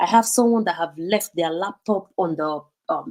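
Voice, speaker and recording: With a Nigerian accent, a woman speaks fairly slowly at a fairly low pitch with ordinary pitch variation. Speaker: vlogger. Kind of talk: live stream talk. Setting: live stream. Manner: casual, hesitant with fillers.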